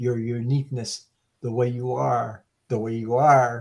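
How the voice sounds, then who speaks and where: His voice is somewhat breathy. The man talks at a medium pitch. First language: French. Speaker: online community member. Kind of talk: casual chat.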